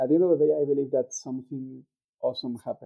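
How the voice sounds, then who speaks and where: This man speaks with a Mexican accent. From Mexico. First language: Spanish. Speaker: actuarial scientist, youth summit delegate. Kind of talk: casual chat. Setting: video call. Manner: halting.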